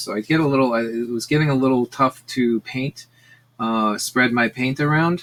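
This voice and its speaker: This man has an ordinary speaking voice at a medium pitch. His delivery moves at a moderate pace with lively intonation. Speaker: art teacher. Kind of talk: tutorial. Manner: casual with many fillers.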